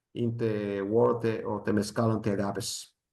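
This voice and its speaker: At a moderate pace, a man talks with a Spanish accent. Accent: Spanish accent, non-native English. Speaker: mezcal expert, presenter. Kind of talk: presentation with slides. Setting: live event with audience. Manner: halting.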